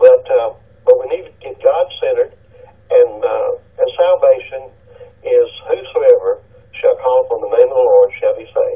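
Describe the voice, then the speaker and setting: A man's extremely high voice with a Tennessee accent, monotone, flat intonation, a moderate pace, long, frequent pauses and big swings in loudness, over noticeable background noise. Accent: US South, Tennessee. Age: 60s. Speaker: caller, retired police officer. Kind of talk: call-in radio talk. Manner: halting.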